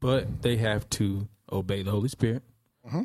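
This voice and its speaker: A somewhat breathy man's voice of medium pitch, with a dark, mellow tone, ordinary pitch variation and a fairly quick pace. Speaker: podcast co-host, musician. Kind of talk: casual chat.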